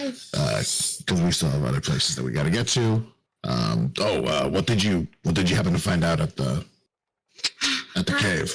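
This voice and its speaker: A man's raspy, put-on character voice, very deep and low in pitch, with very wide pitch swings, very even loudness and a moderate pace. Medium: actual play. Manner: hesitant, halting.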